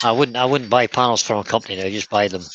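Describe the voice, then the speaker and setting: Speaking in a Scottish accent, a man moves at a fairly quick pace with ordinary pitch variation. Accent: Scottish, kept after decades away. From Scotland. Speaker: co-host of woodturning livestream. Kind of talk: casual live-stream chat. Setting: workshop.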